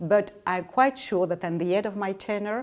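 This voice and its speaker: Her French accent comes through as a woman talks at a medium pitch. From France. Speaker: ambassador. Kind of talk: interview. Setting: official residence. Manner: halting.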